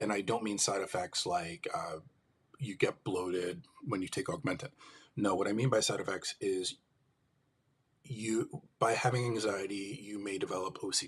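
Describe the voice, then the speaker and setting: Somewhat breathy and fairly low-pitched, a man with an American accent speaks with ordinary pitch variation and long, frequent pauses. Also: moderate pace. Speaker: livestream host, mental health advocate. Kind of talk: live stream monologue. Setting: live stream.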